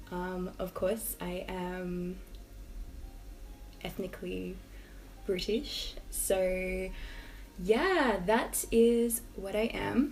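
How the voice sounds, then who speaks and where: A woman with an Australian accent at a very slow pace, with long, frequent pauses, big swings in loudness, audible room echo and noticeable background noise. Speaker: YouTube lifestyle vlogger. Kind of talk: casual vlog talk to camera.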